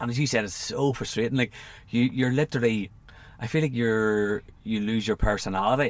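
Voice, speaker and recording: A man talks with an Irish accent at a fairly quick pace. His intonation stays fairly even. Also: medium pitch for a man. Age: 30s. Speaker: podcast host and coach. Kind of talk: casual interview chat. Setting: camper van.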